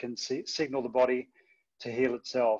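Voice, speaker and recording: Against a quiet background, a man with an Australian accent speaks at a medium pitch in a monotone, flat intonation. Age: 50s. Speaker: former athlete sharing testimony; presenter. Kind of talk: testimony. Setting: video call. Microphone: video call.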